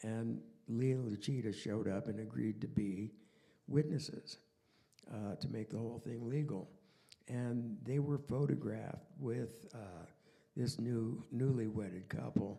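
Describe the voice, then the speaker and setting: Delivered at a fairly slow pace, this man's voice has a dark, mellow tone. The pitch is medium. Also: ordinary pitch variation. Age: 80s+. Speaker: artist and friend on a panel. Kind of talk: panel discussion anecdote.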